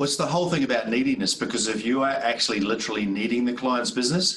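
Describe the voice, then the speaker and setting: Talking at a very fast pace in a New Zealand accent, a man keeps a medium pitch with ordinary pitch variation. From New Zealand, North Island. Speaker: sales trainer. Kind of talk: casual interview. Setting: video call.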